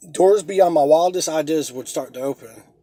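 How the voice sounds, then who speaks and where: At a fairly quick pace, a man with a dark, mellow tone speaks at a fairly high pitch with ordinary pitch variation. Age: 30s. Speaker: aspiring motivational speaker. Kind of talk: motivational speech read from a script. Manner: halting.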